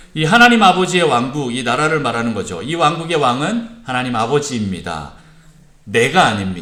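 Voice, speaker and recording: A man's medium-pitched voice with very wide pitch swings, audible room echo and noticeable background noise. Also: moderate pace. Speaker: pastor. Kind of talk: sermon. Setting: church service. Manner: calm, soothing.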